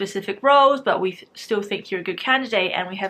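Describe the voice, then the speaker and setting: Bright and sharp in tone, a woman talks very fast with ordinary pitch variation. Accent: New Zealand. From New Zealand. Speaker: youtuber / university student. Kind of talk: casual vlog storytelling. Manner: casual, filler-heavy.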